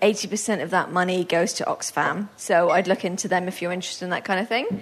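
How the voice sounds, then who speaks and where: A woman talks at a moderate pace and medium pitch, with hardly any pauses and fairly even intonation. It is an ordinary speaking voice. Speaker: panel moderator and blog editor. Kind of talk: moderating a panel. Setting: stage with audience. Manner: chatty, friendly.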